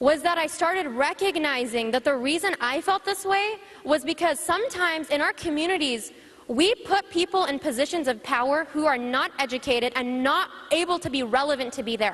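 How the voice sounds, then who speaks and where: A woman speaks loudly at a fairly quick pace in a high voice, her intonation lively and her tone animated, over noticeable background noise. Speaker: panelist. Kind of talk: panel talk.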